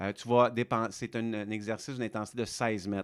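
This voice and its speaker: A man with a Quebec accent talks at a moderate pace. The sound is dry and close with no echo, in a very clean recording with a silent background. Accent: Québécois. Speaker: fitness coach. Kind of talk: casual educational talk. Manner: hesitant, many fillers.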